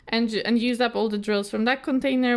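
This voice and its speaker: Speaking with a Polish accent, this woman has a fairly high pitch. Her pace is fairly quick. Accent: non-native, Polish. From Poland. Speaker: craft youtuber. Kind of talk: casual chat. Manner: halting, many fillers and repeats.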